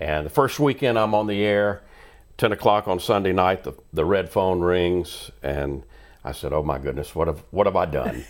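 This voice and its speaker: Lively intonation and vocal fry mark this man's very deep, low voice. He talks at a moderate pace. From Louisiana (Bossier City). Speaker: life coach and radio host. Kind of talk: casual interview chat.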